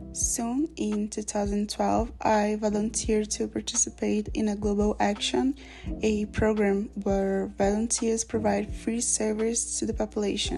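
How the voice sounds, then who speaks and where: Noticeable background noise runs under a woman speaking at a fairly slow pace. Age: 20s. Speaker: university student. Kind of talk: self-introduction video, scripted.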